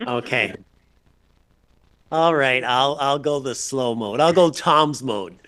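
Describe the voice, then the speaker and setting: Bright and sharp in tone, a man speaks at medium pitch with ordinary pitch variation. He goes very slowly, with long, frequent pauses. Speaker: chief administrative officer. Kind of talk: council meeting discussion.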